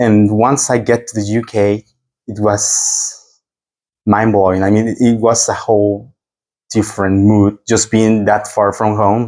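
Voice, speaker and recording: A man with a dark, mellow tone speaks slowly in a Spanish accent, his intonation monotone and flat. The recording is very clean, with a silent background. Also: fairly low pitch for a man. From Mexico. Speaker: exchange student. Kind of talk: interview. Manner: halting.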